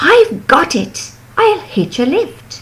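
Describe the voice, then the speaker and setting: A female-sounding voice is put on as a character. The pitch is high. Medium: read story.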